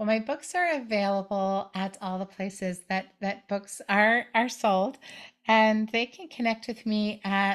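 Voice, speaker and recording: A woman with an ordinary speaking voice talks at a fairly slow pace and medium pitch with ordinary pitch variation, in a very clean recording with a silent background. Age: 50s. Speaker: author and book coach. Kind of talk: interview.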